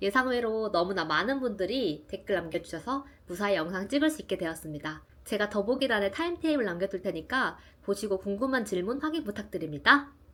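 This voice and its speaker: A woman talks fairly quickly, her pitch swinging very widely. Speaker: small YouTuber, vlogger. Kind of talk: casual Q&A vlog. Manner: bright, lively.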